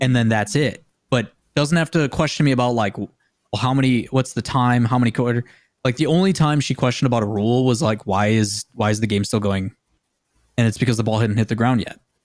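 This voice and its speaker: A very fast man with an American accent, medium pitch, ordinary pitch variation and very even loudness, on a very clean recording with a silent background. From US Midwest (Green Bay, Wisconsin). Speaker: esports caster and TV host. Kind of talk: casual chat.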